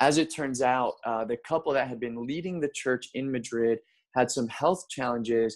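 Here is an ordinary speaking voice with fairly even intonation at a moderate pace. The recording is very clean, with a silent background. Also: man. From US, Baltimore, Maryland. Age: 30s. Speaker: pastor. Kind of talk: casual chat.

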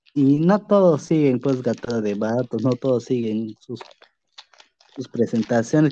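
A man's dark, mellow voice at medium pitch, delivered at a fairly slow pace. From Peruvian jungle region. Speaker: podcast host. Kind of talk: casual interview. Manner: halting, repetitive.

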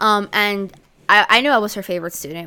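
A woman with an American accent, a bright, sharp tone and fairly even intonation, at a very fast pace in a very clean recording with a silent background. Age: 18. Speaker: makeup artist. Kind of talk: casual chat.

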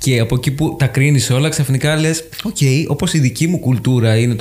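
A man is speaking. His pace is fairly quick. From Greece, Paros. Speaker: podcast host. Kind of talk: casual chat.

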